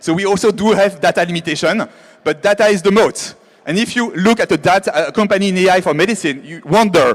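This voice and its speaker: In a French accent, the speech runs at a very fast pace with ordinary pitch variation over noticeable background noise. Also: man. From France. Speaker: AI biotech founder. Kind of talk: keynote talk. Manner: halting.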